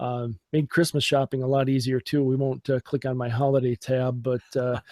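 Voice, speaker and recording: Monotone, flat intonation from a man of medium pitch with a Minnesotan accent, the sound dry and close with no echo. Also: moderate pace. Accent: Minnesota. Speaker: podcast guest, tech enthusiast. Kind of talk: casual chat. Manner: hesitant, many fillers.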